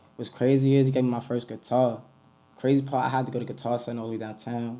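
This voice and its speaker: A man with an American accent talks very fast at medium pitch. His tone is dark and mellow, his intonation monotone and flat. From New York City, the Bronx. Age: 20s. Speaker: rapper. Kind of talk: interview. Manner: casual, slangy.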